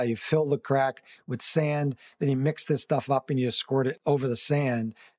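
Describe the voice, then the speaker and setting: A normal speaking voice at a fairly quick pace. The recording is very clean, with a silent background. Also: man. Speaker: radio co-host. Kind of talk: radio host patter. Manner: relaxed, chatty.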